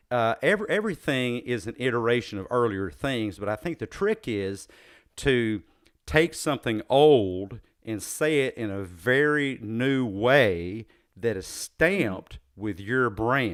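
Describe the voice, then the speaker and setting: With a slight Southern US accent and lively intonation, the speaker goes at a fairly slow pace in a very clean recording with a silent background. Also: man, medium pitch for a man. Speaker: podcast host, psychologist. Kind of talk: interview conversation. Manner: halting, many fillers.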